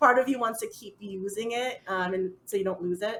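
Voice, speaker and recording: She speaks with an American accent. Her pitch is fairly high. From United States. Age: 30s. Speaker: full-time traveler. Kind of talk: casual chat. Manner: fast.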